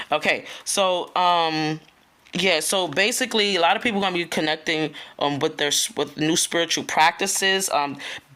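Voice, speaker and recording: At a moderate pace and very even loudness, a woman speaks in a fairly low pitch with a bright, sharp tone and ordinary pitch variation, on a very clean recording with a silent background. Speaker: spiritual content creator. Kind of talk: casual spiritual talk video. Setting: at home early morning, children asleep. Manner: casual, chatty with filler words.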